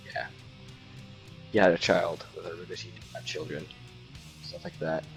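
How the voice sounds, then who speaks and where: A man is speaking. Music plays in the background. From Norway. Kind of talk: casual gaming chat. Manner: rambling, hesitant.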